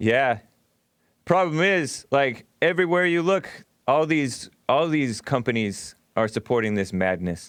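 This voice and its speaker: A man's fairly high voice makes very wide pitch swings while his loudness stays very even. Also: fairly slow pace. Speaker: radio show host. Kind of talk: call-in radio talk show.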